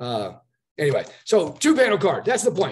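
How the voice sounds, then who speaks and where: A man speaks very fast in an animated tone, his voice somewhat breathy. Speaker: card-sending business distributor vlogger. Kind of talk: sales pitch vlog.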